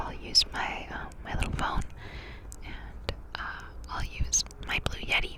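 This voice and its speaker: A woman whispers over noticeable background noise. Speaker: ASMR creator. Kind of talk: ASMR update talk to camera, casual chatty monologue. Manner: whispered, soft-spoken.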